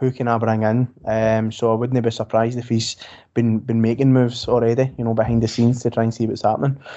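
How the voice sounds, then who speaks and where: Speaking in a west of Scotland accent, a man keeps a medium pitch and a monotone, flat intonation. His pace is fairly quick. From Scotland, Greenock, Inverclyde. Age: 30s. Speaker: football fan podcaster. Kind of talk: casual chat.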